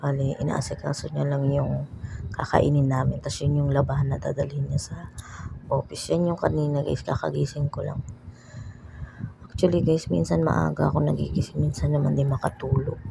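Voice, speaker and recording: A soft-spoken woman talks at a moderate pace. Noticeable background noise sits behind her. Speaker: vlogger. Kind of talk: vlog voice-over.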